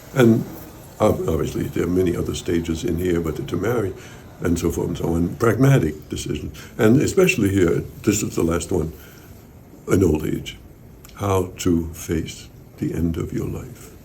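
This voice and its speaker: A man with a Danish accent speaks at a moderate pace in a very deep, low pitch with ordinary pitch variation, leaving long, frequent pauses. His voice is somewhat breathy with a dark, mellow tone, and the room echo is audible. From Denmark. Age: 80s+. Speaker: interviewee on therapy experience. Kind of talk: interview. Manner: halting.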